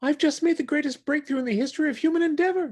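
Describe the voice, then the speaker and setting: A man's put-on character voice, extremely high-pitched and very fast. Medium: read story.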